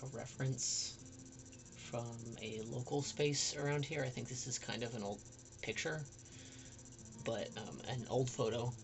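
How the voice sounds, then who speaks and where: Soft-spoken delivery at a fairly slow pace, with long, frequent pauses and music in the background. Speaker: artist streaming illustration work. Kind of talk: casual livestream chat while drawing.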